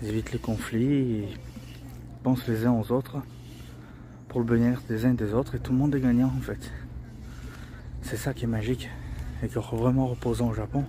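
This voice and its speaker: A soft-spoken man at a moderate pace, with long, frequent pauses. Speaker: travel vlogger. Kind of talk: casual vlog narration. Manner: halting, many repetitions.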